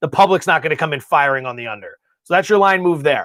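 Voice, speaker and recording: A man with a high pitch and lively intonation is heard in a very clean recording with a silent background. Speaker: sports betting analyst. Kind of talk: livestream betting analysis. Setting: livestream. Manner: talkative, fast.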